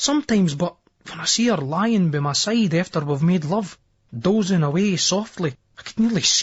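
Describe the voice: This is plain reading aloud. Intonation rises and falls with liveliness.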